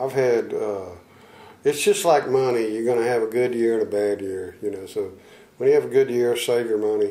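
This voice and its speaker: In an American accent, a man talks at a moderate pace with a medium pitch, a dark, mellow tone and fairly even intonation. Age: 60s. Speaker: blues guitarist. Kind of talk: interview. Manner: halting.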